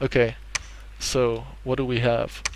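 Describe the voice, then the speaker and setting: A man's voice against noticeable background noise. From Netherlands. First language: Dutch. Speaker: gaming YouTuber. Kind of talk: let's play commentary. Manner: hesitant, many fillers.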